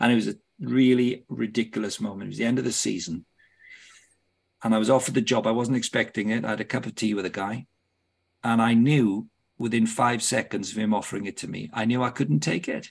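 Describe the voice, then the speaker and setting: A man with a British accent talks at a very fast pace with vocal fry. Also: medium pitch for a man, ordinary pitch variation, very clean recording, silent background. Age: 60s. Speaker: football club director and ministry leader. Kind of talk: podcast interview.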